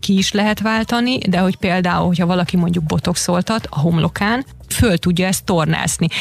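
A woman with a fairly low pitch, over noticeable background noise. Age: 40s. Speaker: yoga instructor. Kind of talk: radio interview. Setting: radio studio.

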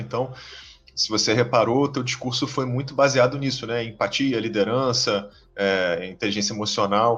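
Music plays in the background as a man talks in a Carioca accent. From Rio de Janeiro, Brazil. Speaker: podcast host. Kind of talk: interview.

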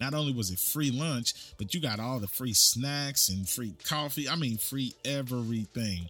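Over background music, a man with a medium-pitched voice and an animated tone talks at a moderate pace, with ordinary pitch variation and hardly any pauses. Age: 30s. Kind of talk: casual storytelling monologue.

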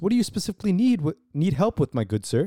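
A man puts on a robotic character voice, pitched high and delivered at a very fast pace. His pitch swings very widely. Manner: stiff, formal, robotic like an AI bot.

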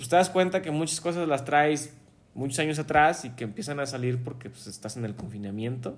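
This man has a plain, everyday voice with a fairly high pitch and ordinary pitch variation. He talks at a fairly quick pace with big swings in loudness. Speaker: podcast co-host, engineer. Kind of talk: casual chat.

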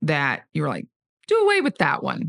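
A woman with a Southern US accent talks against a quiet background. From US South, Georgia. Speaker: church kids' ministry director. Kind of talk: casual chat.

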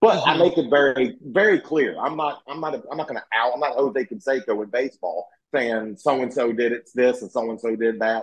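A man with a Southern US accent at a fairly quick pace. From US South. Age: 40s. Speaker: former pro wrestler and YouTuber. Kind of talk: casual interview chat.

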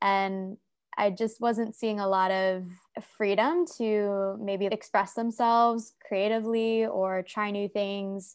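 A woman with an American accent, a normal speaking voice, medium pitch and fairly even intonation. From United States. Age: 20s. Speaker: content creator and health coach. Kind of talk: casual interview chat.

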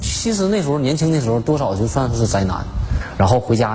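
A man's fairly quick speech, ordinary in its pitch variation, comes with audible room echo and noticeable background noise. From Liaoning, northeast China (Shenyang). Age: 40s. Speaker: rope-skipping athlete and coach. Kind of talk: interview testimony. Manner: halting.

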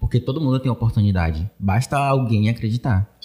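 This man has a medium pitch with ordinary pitch variation. His tone is dark and mellow, and somewhat breathy. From Bahia, Brazil (Pojuca). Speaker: video editing content creator. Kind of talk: casual interview.

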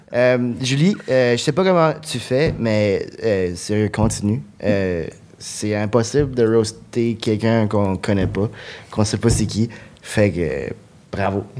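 At a very slow pace, a man with a fairly low pitch speaks with long, frequent pauses. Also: ordinary pitch variation. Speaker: comedian. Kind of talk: comedy podcast jokes. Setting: stage with audience.

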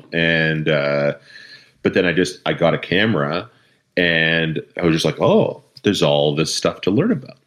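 A voice with a Canadian accent at a moderate pace, with very even loudness and ordinary pitch variation. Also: man, very deep, low pitch for a man. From Canada, Eastern Ontario. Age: 30s. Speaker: hobbyist night photographer. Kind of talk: casual interview chat.

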